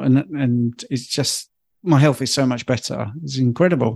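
This is an ordinary speaking voice at a moderate pace. The intonation is fairly even, and the background is quiet. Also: man. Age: 50s. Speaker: health coach. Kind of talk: interview.

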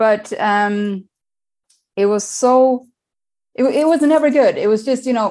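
A woman with a Swedish accent talks at a fairly slow pace, her high voice swinging very widely in pitch. She leaves long, frequent pauses. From Sweden. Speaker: diabetes coach. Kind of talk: interview. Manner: energetic.

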